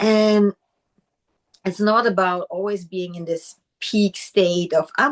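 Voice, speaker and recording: Her pace is very slow. This woman talks with a non-native accent. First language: not English. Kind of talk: casual chat.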